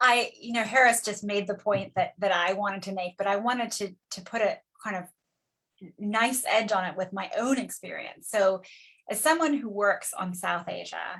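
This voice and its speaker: The speaker has a plain, everyday voice with an American accent. The pace is moderate, with ordinary pitch variation. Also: woman, medium pitch for a woman. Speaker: political scientist specializing in South Asia. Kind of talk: academic panel discussion.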